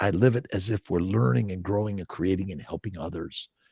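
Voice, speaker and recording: A man speaks with an American accent, his voice somewhat breathy. The sound is dry and close, with no echo. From US West Coast, Los Angeles. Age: 60s. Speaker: fertility doctor. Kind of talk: podcast interview. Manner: halting, many fillers.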